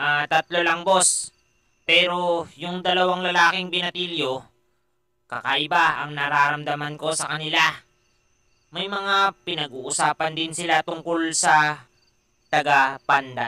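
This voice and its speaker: Putting on a cartoonish character voice, a man talks fairly slowly at a fairly high pitch. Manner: servile, hesitant.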